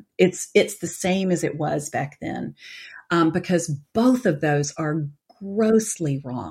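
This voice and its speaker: A woman's voice with a Southern US accent. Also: very clean recording, silent background. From US South, Atlanta. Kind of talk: interview.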